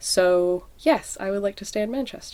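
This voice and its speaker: A woman with a Canadian accent and a normal speaking voice, fairly slow with ordinary pitch variation, on a very clean recording with a silent background. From Canada. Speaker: musician. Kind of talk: interview answer.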